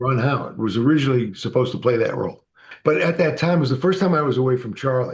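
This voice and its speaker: Somewhat breathy and at a very fast pace, a man speaks with ordinary pitch variation. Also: medium pitch for a man. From Massachusetts, US. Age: 60s. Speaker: actor and author. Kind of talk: interview storytelling.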